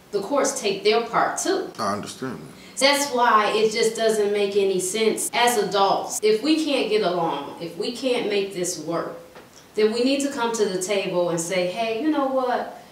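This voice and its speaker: Echo from the room can be heard. The delivery is fairly slow. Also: woman. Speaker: interview host. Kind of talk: conversational commentary in an interview. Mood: earnest, disapproving. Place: meeting room.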